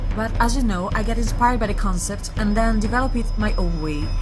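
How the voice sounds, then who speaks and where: With music in the background, a woman talks with a non-native accent. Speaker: makeup artist. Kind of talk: makeup tutorial voiceover.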